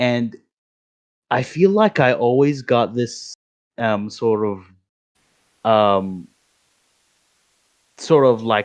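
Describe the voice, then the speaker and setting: This man speaks at a medium pitch. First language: not English. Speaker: voice chat participant. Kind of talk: casual chat. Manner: halting.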